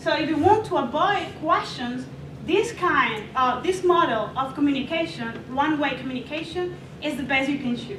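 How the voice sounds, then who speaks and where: A woman with a non-native accent speaks at a moderate pace in a high pitch with lively intonation. Noticeable background noise and audible room echo are present. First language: not English. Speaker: student presenter. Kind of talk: class presentation. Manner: halting.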